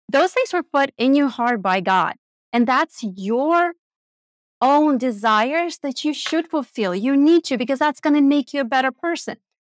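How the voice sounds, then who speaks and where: A woman with a non-native accent at a moderate pace, with lively intonation, a dry, close sound with no echo and a very clean recording with a silent background. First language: not English. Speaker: money coach and investor. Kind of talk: casual interview.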